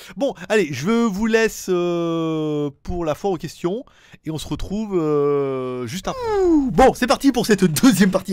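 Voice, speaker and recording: A high-pitched man's voice with lively intonation. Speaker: tech youtuber answering viewer questions. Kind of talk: casual solo video chat. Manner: fast; casual, rambling with fillers.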